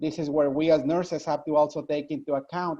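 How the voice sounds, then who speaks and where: Someone with a Spanish accent speaks at a moderate pace. The background is quiet. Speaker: nurse. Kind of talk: panel discussion.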